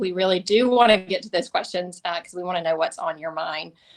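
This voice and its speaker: Here a woman speaks with a Southern US accent. Her pitch sits in the medium range. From US South, Tifton, Georgia. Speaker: government affairs executive. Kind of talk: webinar presentation. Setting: webinar.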